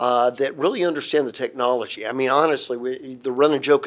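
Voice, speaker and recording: This man has a Southern US accent and a medium-pitched voice. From Atlanta, Georgia, US South. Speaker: security systems integrator and company president. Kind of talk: interview, professional conversation.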